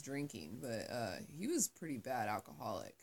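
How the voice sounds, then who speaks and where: This woman's voice is very deep and low-pitched, with vocal fry. Her tone is animated and her intonation lively. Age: 20s. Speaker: podcast host. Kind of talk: casual chat. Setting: sister's bedroom at family home. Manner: animated, laughing often.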